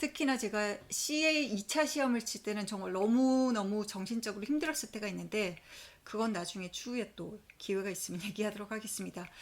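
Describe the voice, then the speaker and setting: In a normal speaking voice, the speaker talks at a fairly quick pace with ordinary pitch variation. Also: woman, fairly high pitch for a woman. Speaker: accountant vlogger. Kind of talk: personal vlog storytelling. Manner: conversational.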